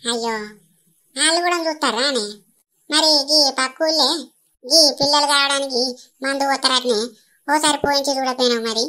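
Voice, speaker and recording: A woman uses a put-on character voice at a high pitch and moderate pace, in a very clean recording with a silent background. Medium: comedy sketch. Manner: prying, chatty, teasing.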